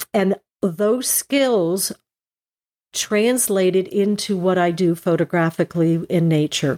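A woman with an American accent at a very slow pace, her dark, mellow tone at very even loudness with ordinary pitch variation, in a dry, close sound with no echo. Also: medium pitch for a woman. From New Jersey, Morris County. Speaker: landscape and nature photographer. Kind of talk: interview conversation.

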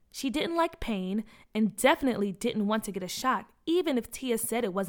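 The intonation moves in a lively way. It comes from a natural reading voice.

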